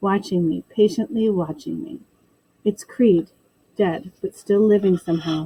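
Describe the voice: Plain reading aloud, the pitch shifting by an ordinary amount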